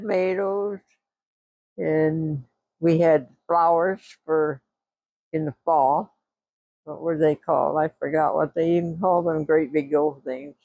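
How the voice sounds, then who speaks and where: A woman's very deep, low pitch and dark, mellow tone, with fairly even intonation, a very slow pace, long, frequent pauses and a dry, close sound without echo. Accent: Pennsylvania. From Pennsylvania. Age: 80s+. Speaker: retired farmer. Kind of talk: interview answer.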